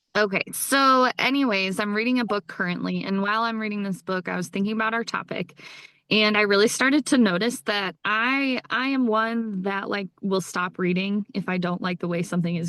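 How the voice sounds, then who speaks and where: A woman's ordinary speaking voice at a medium pitch, fairly quick pace and ordinary pitch variation, with a dry, close sound and no echo. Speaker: book podcast co-host. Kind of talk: casual chat.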